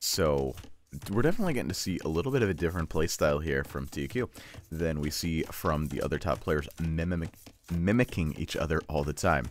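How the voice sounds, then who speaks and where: Using lively intonation, a man speaks at a moderate pace in a very deep, low voice with vocal fry. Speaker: game caster. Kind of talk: live commentary. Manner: stumbles over words; casual, filler-heavy.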